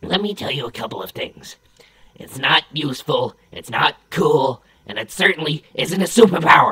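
This cartoonish character voice sits at a middle pitch and moves at a moderate pace.

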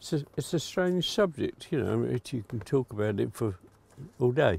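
This man's somewhat breathy voice sits at medium pitch and moves through very wide pitch swings. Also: moderate pace. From Bedford, England. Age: 80s+. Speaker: former airship shed worker. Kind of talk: oral history interview answer.

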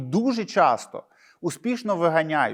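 At a fairly slow pace, a man talks with lively intonation in a very clean recording with a silent background. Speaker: journalist video blogger. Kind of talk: solo commentary monologue. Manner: sarcastic.

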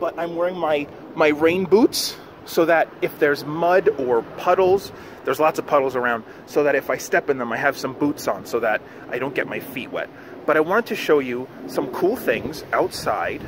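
Moderate pace from a man, ordinary pitch variation, a dry sound with no echo, and noticeable background noise. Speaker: teacher addressing children. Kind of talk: casual vlog chat. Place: street. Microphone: phone near.

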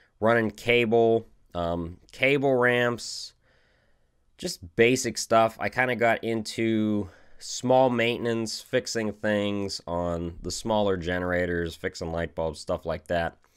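Speaking at a slow pace, a man has a fairly low pitch, a clear, smooth tone and fairly even intonation. The recording is very clean, with a silent background.

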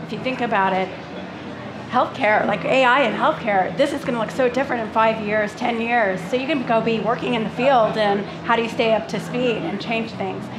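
A woman with a fairly high pitch speaks at a moderate pace and with fairly even intonation over noticeable background noise. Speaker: tech executive; panelist. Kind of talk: panel discussion. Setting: stage with audience. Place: stage.

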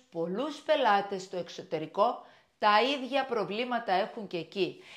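A woman's fairly high, lively voice at a fairly slow pace against a quiet background. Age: 60s. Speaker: shop owner and vlogger; vlogger. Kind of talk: casual vlog monologue. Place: kitchen. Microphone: lapel.

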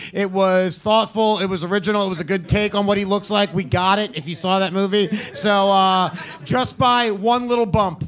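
Light background noise sits behind a man talking at a moderate pace. His high voice keeps a fairly even intonation. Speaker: roast battle judge. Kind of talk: comedic commentary. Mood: joking, amused. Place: stage. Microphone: handheld.

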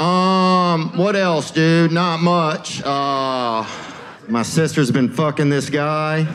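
With an American accent, a man speaks at a very slow pace and a fairly high pitch. His loudness stays very even over light background noise. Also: ordinary pitch variation. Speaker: stand-up comedian. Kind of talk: stand-up comedy set. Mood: laid-back, deadpan, playful. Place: stage. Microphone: handheld.

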